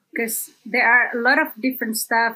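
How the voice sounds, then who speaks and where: A woman with an Indonesian accent speaks at a moderate pace in a high, bright, sharp voice with ordinary pitch variation. The recording is very clean, with a silent background. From Sumatra, Indonesia. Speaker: content creator and former journalist. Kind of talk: casual interview. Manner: hesitant, many fillers.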